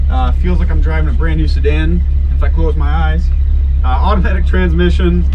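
A man's very deep, low voice at a fairly quick pace, with noticeable background noise. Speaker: presenter. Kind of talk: test drive commentary. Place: car. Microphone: camera far.

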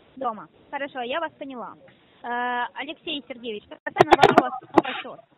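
Over noticeable background noise, a woman speaks at a high pitch and a moderate pace, with lively intonation, big swings in loudness and long, frequent pauses. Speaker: phone scammer posing as bank specialist. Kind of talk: scam phone call. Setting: phone call. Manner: formal.

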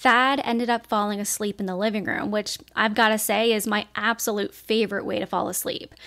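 In a quiet setting, the words come at a moderate speed. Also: woman. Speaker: true crime narrator. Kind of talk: storytelling narration. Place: home room. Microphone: studio mic.

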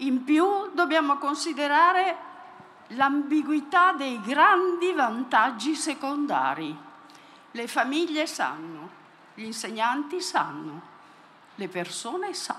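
With a raised, projected voice at a high pitch, a woman speaks at a very slow pace with lively intonation and long, frequent pauses over light background noise. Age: 70s. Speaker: audience member, psychoanalyst. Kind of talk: audience question. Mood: earnest, concluding. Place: stage.

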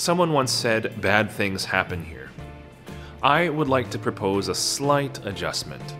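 Clear music in the background behind a man's medium-pitched voice, very wide pitch swings, at a fairly slow pace. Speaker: podcast host. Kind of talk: podcast trailer narration. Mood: earnest, warm. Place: home room.

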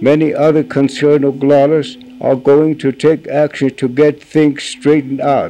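A man with an American accent and monotone, flat intonation, over light background noise. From US Midwest, Pine Ridge Reservation, South Dakota; South Dakota. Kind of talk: reading aloud; reading a formal letter. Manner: halting. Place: home room.

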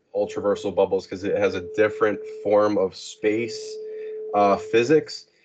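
A man talks while noticeable background noise runs beneath him. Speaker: interview guest. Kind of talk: interview answer. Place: home room. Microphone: video call.

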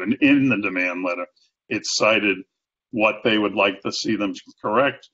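In a Boston accent, a man with a fairly low pitch speaks against a quiet background. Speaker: accessibility sales and marketing executive. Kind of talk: interview answer. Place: home room. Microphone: video call.

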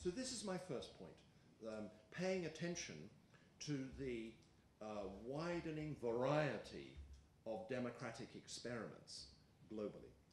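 A man with an Australian accent speaks at a fairly slow pace, somewhat breathy, with lively intonation and long, frequent pauses. Light background noise and audible room echo are present. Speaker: political science professor; lecturing professor. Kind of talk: lecture. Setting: stage with audience. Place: meeting room. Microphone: podium.

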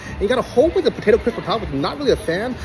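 A man speaks over noticeable background noise. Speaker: food reviewer. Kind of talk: casual food review vlog. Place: cafe. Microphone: phone near.

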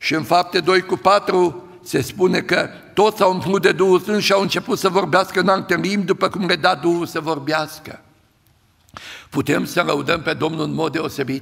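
A man's high voice with vocal fry, a fairly bright tone and fairly even intonation.

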